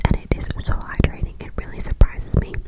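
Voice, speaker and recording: This woman whispers. There is noticeable noise in the background. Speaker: ASMR creator. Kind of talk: ASMR skincare and hair tutorial voice over. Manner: soft whisper, clicky.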